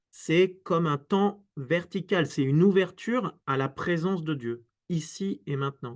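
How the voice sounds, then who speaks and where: His pitch varies in an ordinary way. This man's voice sits fairly high. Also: quiet background. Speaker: Jesuit priest and author. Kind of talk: webinar talk. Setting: online webinar. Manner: halting, repetitions and fillers.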